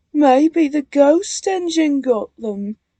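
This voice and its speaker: A woman speaks at a high pitch. She uses a put-on character voice. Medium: read story. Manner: teasing, playful.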